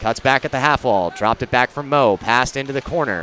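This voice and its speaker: A man bellows over background music, the sound dry with no echo. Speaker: play-by-play announcer. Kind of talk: live hockey play-by-play commentary. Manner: builds to a roaring crescendo on the overtime winner. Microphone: headset.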